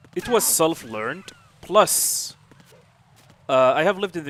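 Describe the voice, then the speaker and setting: Noticeable background noise sits behind a man's voice. He talks at a moderate pace with lively intonation. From Saudi Arabia. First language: Arabic. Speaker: video game streamer. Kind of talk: live stream commentary.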